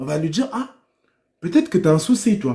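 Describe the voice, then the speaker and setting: This voice has a dark, mellow tone and lively intonation, moving at a fairly slow pace. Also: man. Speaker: livestreamer. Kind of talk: livestream monologue. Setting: live stream. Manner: loud.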